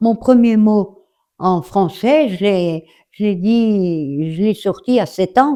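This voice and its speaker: This woman's voice has a dark, mellow tone and very wide pitch swings. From Alsace, France. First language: German / Alsatian (speaking French). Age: 80s+. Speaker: elderly interviewee. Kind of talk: interview testimony. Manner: halting.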